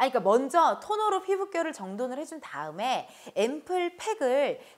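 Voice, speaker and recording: The speaker's tone is animated, with very wide pitch swings. The pace is moderate and the background is quiet. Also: woman. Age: 30s. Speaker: entertainer hosting sponsored beauty segment. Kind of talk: sponsored product review. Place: studio. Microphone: lapel.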